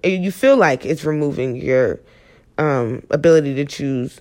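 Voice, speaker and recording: A woman with a plain, everyday voice talks at a moderate pace, her intonation lively. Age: 20s. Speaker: podcast host. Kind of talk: solo monologue podcast. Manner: casual, filler-heavy.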